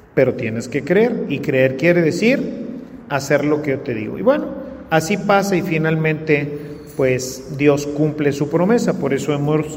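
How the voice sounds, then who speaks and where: A man speaks at a fairly high pitch with lively intonation and a fairly slow pace. Audible room echo and noticeable background noise are present. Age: 60s. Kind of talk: sermon. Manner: conversational.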